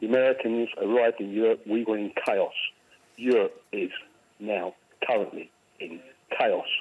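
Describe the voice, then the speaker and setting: A man is talking while background noise is noticeable. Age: 70s. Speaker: caller. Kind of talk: call-in opinion. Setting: phone call.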